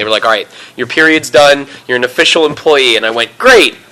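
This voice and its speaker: A man's voice over noticeable background noise. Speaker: voice actor. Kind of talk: interview answer. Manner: casual, talkative.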